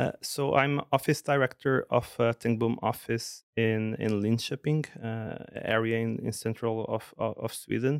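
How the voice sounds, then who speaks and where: A man's medium-pitched voice with a Portuguese accent, fairly slow and fairly even, with hardly any pauses and a dry, close sound with no echo. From Portugal, Porto. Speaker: architect. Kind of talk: interview. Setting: studio. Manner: halting, frequent repetitions.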